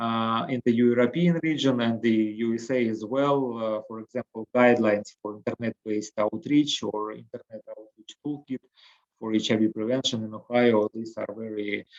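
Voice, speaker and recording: A man with a Russian accent talks at a moderate pace with fairly even intonation and big swings in loudness, in a dry, close sound with no echo. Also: medium pitch for a man. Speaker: harm reduction program director. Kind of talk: webinar presentation. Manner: halting, many fillers.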